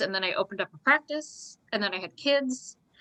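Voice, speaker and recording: A woman with an American accent talks at a fairly quick pace in a bright, sharp tone against a quiet background. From US Northeast, Long Island. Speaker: registered dietitian. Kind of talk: online Q&A talk. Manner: casual, conversational.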